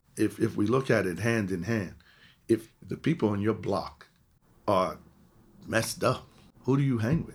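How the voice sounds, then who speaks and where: A man at a medium pitch talks at a moderate pace with ordinary pitch variation and long, frequent pauses. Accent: New York. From New York City, the Bronx. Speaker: college counselor. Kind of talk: interview.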